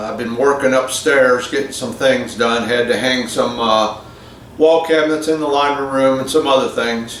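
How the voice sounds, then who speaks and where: A man with an American accent talks with fairly even intonation amid noticeable background noise and audible room echo. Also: medium pitch for a man, moderate pace. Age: 60s. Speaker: scale model hobbyist. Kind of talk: casual vlog talk. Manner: rambling, many fillers and repeats.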